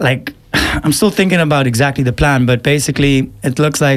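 Background noise is clearly audible here. Through it, a male speaker talks in a fairly high voice. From Eswatini. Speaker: musician. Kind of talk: radio interview.

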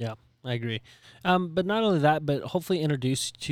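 A man with an American accent at a very fast pace, lively in intonation, on a very clean recording with a silent background. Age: 30s. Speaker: business coach. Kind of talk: casual chat. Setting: video recording.

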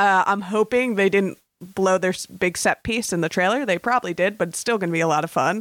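A woman's normal speaking voice at a medium pitch, fairly quick pace and ordinary pitch variation, in a dry, close sound with no echo and a very clean recording with a silent background. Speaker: podcaster. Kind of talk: casual chat.

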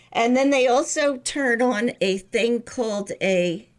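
On a very clean recording with a silent background, a woman with a fairly high pitch speaks at a very slow pace with lively intonation. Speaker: podcast co-host, mother. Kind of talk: casual chat. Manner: sarcastic-sounding tone.

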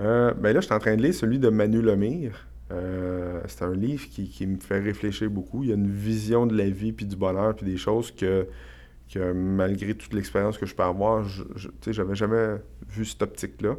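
A man speaks in a Quebec accent at a fairly low pitch. His pace is moderate and his pitch varies in an ordinary way. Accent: Québécois French. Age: 40s. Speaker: real estate investor and entrepreneur. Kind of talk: casual interview. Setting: studio.

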